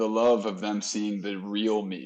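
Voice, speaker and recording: Against a quiet background, a man with a New Jersey accent speaks in a fairly low, monotone voice with flat intonation. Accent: New Jersey American. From US Northeast, New Jersey. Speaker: podcast host. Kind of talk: casual interview chat.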